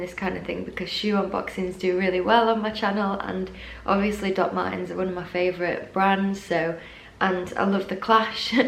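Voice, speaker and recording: A woman speaks with ordinary pitch variation. Noticeable background noise and audible room echo are present. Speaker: fashion YouTuber. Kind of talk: casual unboxing vlog.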